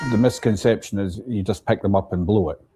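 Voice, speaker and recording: A man with a strong Scottish accent speaks in a dark, mellow tone. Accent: thick Scottish. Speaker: bagpipe shop worker. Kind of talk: interview.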